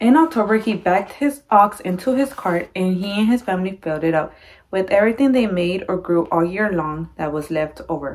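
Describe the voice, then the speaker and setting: The speech moves at a fairly quick pace with lively intonation. The background is quiet. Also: woman. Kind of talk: read-aloud storytelling. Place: home room. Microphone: phone near.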